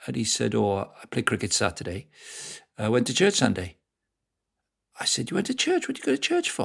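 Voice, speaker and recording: Speaking with a Welsh accent, a man moves at a fairly quick pace but leaves long, frequent pauses. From South Wales. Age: 50s. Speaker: football club director and evangelist. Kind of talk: casual interview.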